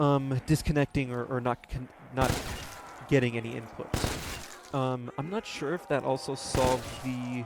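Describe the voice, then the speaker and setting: A soft-spoken man talks at a fairly slow pace with fairly even intonation. Noticeable background noise runs behind him. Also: medium pitch for a man. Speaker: gaming YouTuber. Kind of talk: casual gameplay commentary. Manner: halting, many fillers.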